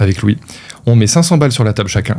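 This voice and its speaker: A man speaks at a medium pitch with a dark, mellow tone. His pitch moves in an ordinary way. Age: 30s. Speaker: e-commerce entrepreneur. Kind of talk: interview. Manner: casual, hesitant with many fillers.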